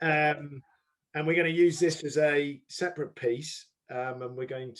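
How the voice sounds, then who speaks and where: A man with a plain, everyday voice speaks at a fairly slow pace, his fairly high pitch held in fairly even intonation. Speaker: company executive interviewer. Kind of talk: interview. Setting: video call.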